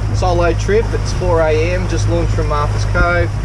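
Someone speaks at a moderate pace over loud background noise. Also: man. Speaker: fishing channel host. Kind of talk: casual vlog chat. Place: boat. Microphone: phone near.

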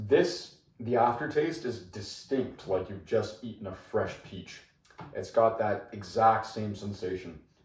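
A man talks at a fairly slow pace, somewhat breathy, with big swings in loudness. Room echo is audible. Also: medium pitch for a man, ordinary pitch variation. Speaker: whiskey reviewer. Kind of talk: product review. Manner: casual, conversational. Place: home room. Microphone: camera far.

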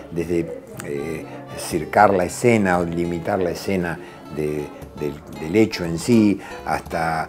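A man speaks very slowly in a very deep, low voice. Faint music plays in the background. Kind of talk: interview answer. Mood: reflective, calm. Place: office.

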